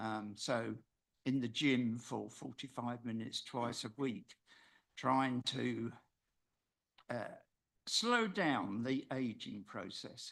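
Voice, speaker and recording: A man talking at a very slow pace, with long, frequent pauses, against a quiet background. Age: 70s. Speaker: member of the public addressing council. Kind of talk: public deputation speech. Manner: halting, many filler sounds.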